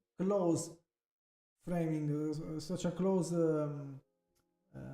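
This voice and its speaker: A man speaks at a very slow pace in a fairly high pitch with monotone, flat intonation, with music playing in the background. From Italy. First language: Italian. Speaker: photographer. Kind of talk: tutorial. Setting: live stream. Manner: halting, many fillers and restarts.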